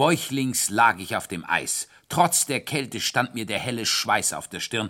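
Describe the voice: The text is read aloud. The reading is plain.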